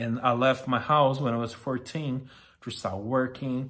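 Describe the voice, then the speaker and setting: A man talks at a fairly slow pace in a monotone, flat intonation. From Brazil, small town. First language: Portuguese. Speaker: podcast host. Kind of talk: personal monologue. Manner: halting.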